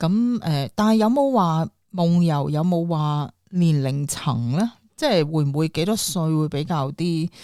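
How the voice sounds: On a very clean recording with a silent background, a woman speaks at a low pitch with a dark, mellow tone. Her pace is fairly slow and her intonation lively.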